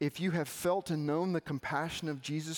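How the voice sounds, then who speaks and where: Someone with a Southern US accent talks at a moderate pace with fairly even intonation. The sound is dry and close with no echo, on a very clean recording with a silent background. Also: man. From Arkansas. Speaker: campus minister. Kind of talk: sermon.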